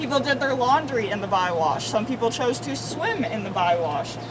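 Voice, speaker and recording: A woman talks at a fairly quick pace. Noticeable background noise is heard behind her. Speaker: walking tour guide. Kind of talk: guided tour talk to a group. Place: street. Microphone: camera far.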